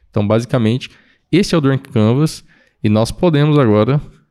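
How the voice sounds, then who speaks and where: The voice has a dark, mellow tone and lively intonation at a fairly quick pace. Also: man. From Campo Grande, Mato Grosso do Sul, Brazil. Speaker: podcast host. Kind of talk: podcast interview. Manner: casual, laughing often.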